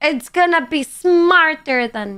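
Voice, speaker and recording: A woman's bright, sharp, animated tone with a slight Greek accent. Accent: Greek-tinged English. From Greece. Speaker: live streamer. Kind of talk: casual chat reading viewer comments.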